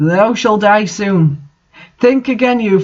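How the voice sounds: It is a natural reading voice with ordinary pitch variation, heard over a quiet background.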